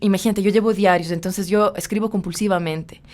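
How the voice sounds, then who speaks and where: Medium pitch from a woman, with ordinary pitch variation. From Ecuador, Quito. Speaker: poet and writer. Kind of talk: interview.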